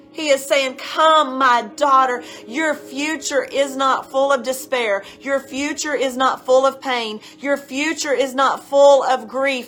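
Against noticeable background noise, a woman speaks at a high pitch and a very slow pace with fairly even intonation. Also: hardly any pauses. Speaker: pastor. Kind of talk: fervent prayer; sermon-style exhortation. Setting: online video session. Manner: impassioned, urgent, exhorting.

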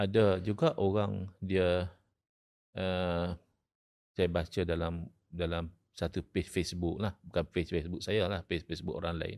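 Very deep and low, a man's voice moves at a fairly slow pace with monotone, flat intonation on a very clean recording with a silent background. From Malaysia, Terengganu. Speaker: Islamic scholar and law lecturer. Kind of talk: podcast interview, religious discussion.

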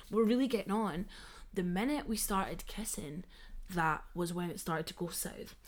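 A woman with a Scottish accent, medium pitch, ordinary pitch variation, an animated tone and a moderate pace. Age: 20s. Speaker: podcast co-host. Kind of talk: casual chat.

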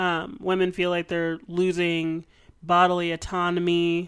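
A woman with a plain, everyday voice and fairly low pitch speaks at a fairly slow pace in a very clean recording with a silent background. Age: 20s. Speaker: podcast co-host. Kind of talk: casual chat.

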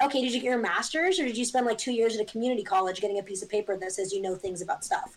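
Talking at a very fast pace with hardly any pauses, a woman uses a fairly high pitch and an American accent. Her pitch varies in an ordinary way. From Northern California (Eureka). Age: 20s. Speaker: artist. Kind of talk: casual chat. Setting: video call. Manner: animated.

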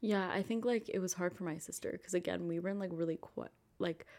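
A woman has an ordinary speaking voice with a fairly low pitch. She speaks at a fairly quick pace with fairly even intonation. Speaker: college student. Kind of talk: casual chat.

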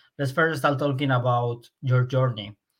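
A plain, everyday voice from a man, fairly high in pitch, with fairly even intonation, a moderate pace and a very clean recording with a silent background. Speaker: podcast host. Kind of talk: casual interview.

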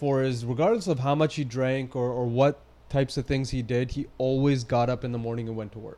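This man has a dark, mellow tone and a Western Canadian accent. His intonation stays fairly even, and he talks at a fairly quick pace. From Surrey, British Columbia, Canada. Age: 30s. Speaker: fitness trainer and gym owner. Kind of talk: casual interview.

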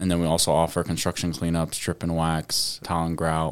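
A man with a very deep, low pitch at a fairly quick pace on a very clean recording with a silent background. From Saudi Arabia. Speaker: business owner. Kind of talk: radio interview.

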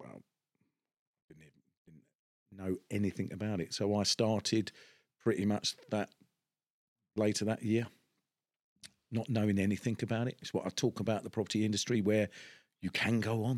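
In a Cockney accent, a fairly low-pitched man talks in a monotone, flat way, with long, frequent pauses and big swings in loudness, in a dry, close sound with no echo. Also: moderate pace. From East End of London. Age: 50s. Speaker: podcast host, property businessman. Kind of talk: casual interview chat. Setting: studio set in an office. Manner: hesitant, many fillers.

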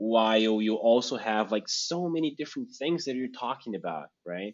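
This man's voice sits at a medium pitch, an unremarkable speaking voice. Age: young. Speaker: podcast host. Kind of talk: casual interview chat.

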